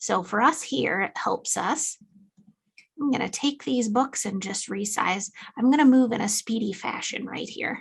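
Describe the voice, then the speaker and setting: A woman speaks at a fairly slow pace in a fairly high voice. Her delivery is somewhat breathy with lively intonation. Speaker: software company marketing lead giving a product demo. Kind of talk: webinar software demo. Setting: video call webinar with screen sharing. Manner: animated.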